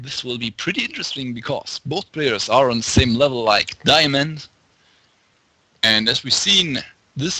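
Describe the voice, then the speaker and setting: At a fairly slow pace, a medium-pitched man speaks with lively intonation. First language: German. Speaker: esports commentator. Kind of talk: live commentary. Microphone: too quiet after touching mic.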